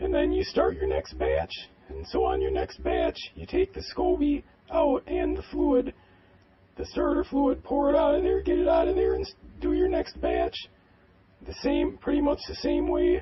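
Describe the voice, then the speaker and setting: Using a put-on character voice, a man speaks at a moderate pace. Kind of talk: how-to narration. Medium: role play.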